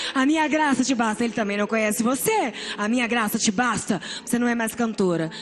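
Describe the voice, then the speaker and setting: There is noticeable background noise as a woman talks with a fairly high pitch. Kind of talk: testimony. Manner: emotional, preaching style.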